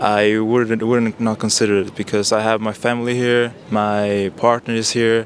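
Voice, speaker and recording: A man's medium-pitched, monotone, flat delivery at a moderate pace with a Spanish accent, over noticeable background noise. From Chile. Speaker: street interviewee. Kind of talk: street interview.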